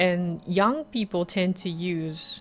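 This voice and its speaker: Over music in the background, a speaker with a Japanese accent talks with ordinary pitch variation. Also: woman. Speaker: YouTuber. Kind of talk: radio-style monologue.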